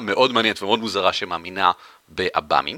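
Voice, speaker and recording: A man with an Israeli accent and a bright, sharp tone, in a dry, close sound with no echo. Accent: Israeli accent when speaking English. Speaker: podcast host. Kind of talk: casual chat. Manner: fast.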